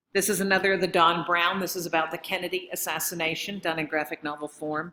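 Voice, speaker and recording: A woman with a bright, sharp tone and a fairly low pitch. She talks at a fairly quick pace with fairly even intonation. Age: 60s. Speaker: professor of library science. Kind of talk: conference presentation.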